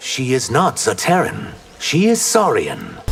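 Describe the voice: Over faint music in the background, a man uses a high, cartoonish character voice at a fairly slow pace.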